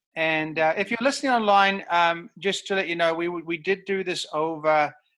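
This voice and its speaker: Someone with a New Zealand accent speaks at a moderate pace. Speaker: pastor, podcast host. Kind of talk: interview. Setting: video call. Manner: halting.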